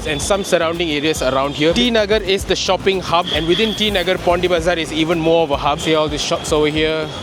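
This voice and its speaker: Over music in the background, a man talks very fast in a Tamil accent, his pitch fairly high. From Malaysia. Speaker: travel vlogger. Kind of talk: travel vlog narration. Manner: casual.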